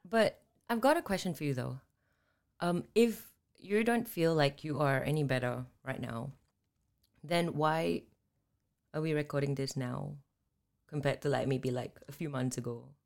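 A woman's very deep, low voice with vocal fry, an animated tone, very wide pitch swings and long, frequent pauses. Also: moderate pace. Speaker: podcast co-host. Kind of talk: casual chat. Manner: animated, excitable.

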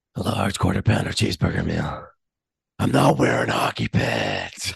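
In a put-on character voice, this man sounds raspy and very deep and low-pitched, moving at a moderate pace.

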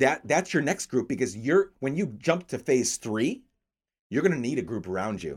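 Recorded very cleanly against a silent background, a man with an American accent speaks at a medium pitch and a moderate pace, with very wide pitch swings. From upstate New York. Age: 30s. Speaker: podcast host. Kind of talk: casual chat.

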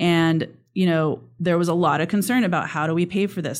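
In a Californian accent, a woman speaks at a moderate pace with a fairly low pitch and ordinary pitch variation. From California, Sierra foothills (Sonora). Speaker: state politician. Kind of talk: interview.

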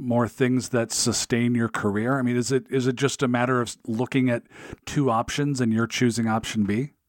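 In an ordinary speaking voice, a man with an American accent talks at a moderate pace and medium pitch, with fairly even intonation. The recording is very clean and dry, close with no echo and a silent background. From US Pacific Northwest, Seattle area. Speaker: podcast host. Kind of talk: interview; scripted narration.

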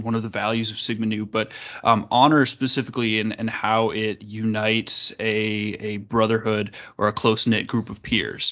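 Speaking at a moderate pace, a man has an unremarkable speaking voice at a medium pitch. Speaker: podcast host. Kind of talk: casual chat.

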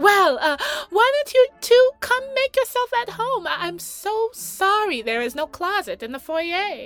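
A woman puts on a squeaky character voice at an extremely high pitch, speaking at a fairly slow pace with very wide pitch swings. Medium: audio drama. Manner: sweetly passive-aggressive.

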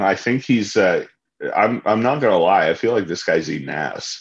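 At a moderate pace, a man speaks at a medium pitch with vocal fry. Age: 30s. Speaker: musician. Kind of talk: casual chat.

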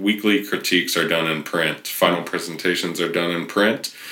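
The speaker is a man with a Californian accent. He talks at a fairly quick pace. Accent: Californian American. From US West Coast, Riverside, California. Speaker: photography professor. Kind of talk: casual interview chat. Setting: guest's campus office.

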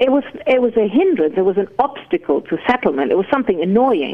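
Over noticeable background noise, a woman talks at a very fast pace and a fairly high pitch, her pitch swinging very widely. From Germany. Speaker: garden historian and author. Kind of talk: interview. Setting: phone call.

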